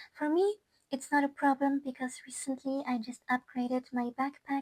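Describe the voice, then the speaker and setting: Speaking with a non-native accent, a woman uses a high pitch in a dry, close sound with no echo. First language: not English. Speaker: gaming YouTuber and musician. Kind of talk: casual product review. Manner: hesitant, many fillers and restarts; enthusiastic.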